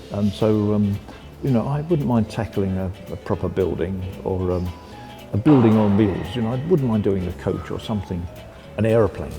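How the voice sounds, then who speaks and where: A man's fairly low-pitched voice over music in the background. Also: ordinary pitch variation, moderate pace. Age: 80s+. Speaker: industrial designer. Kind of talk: interview answer.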